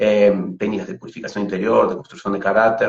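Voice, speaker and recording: This is a man speaking. He has a Uruguayan accent. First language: Spanish (speaking Portuguese). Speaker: pranic healing instructor. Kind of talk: interview on a live stream. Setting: online live video. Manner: halting, many repetitions and fillers.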